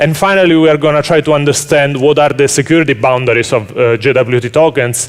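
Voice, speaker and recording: His pitch sits fairly high for a man. The man's intonation stays fairly even. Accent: Italian. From Italy. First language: Italian. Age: 30s. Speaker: software engineer. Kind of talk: conference talk. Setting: stage with audience.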